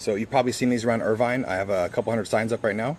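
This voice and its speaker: This is a man at a medium pitch. His pitch variation is ordinary. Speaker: school board candidate. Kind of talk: live stream Q&A. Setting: live video stream. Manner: fast; halting, many fillers.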